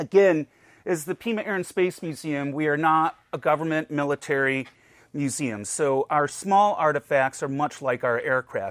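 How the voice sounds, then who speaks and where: A man with an American accent, fairly high in pitch at a moderate pace, an unremarkable speaking voice with ordinary pitch variation on a very clean recording with a silent background. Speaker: museum collections director. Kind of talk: casual interview chat.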